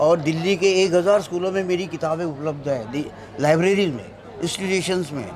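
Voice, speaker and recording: High-pitched male voice with ordinary pitch variation, audible room echo and noticeable background noise. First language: Marathi (speaking Hindi). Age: 70s. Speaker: author and tea stall owner. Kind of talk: interview.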